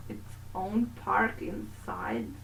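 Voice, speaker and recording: A woman speaks with a Romanian accent. Noticeable background noise and audible room echo surround her voice. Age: 20s. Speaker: gaming YouTuber. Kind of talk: video game voiceover commentary. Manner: casual, halting.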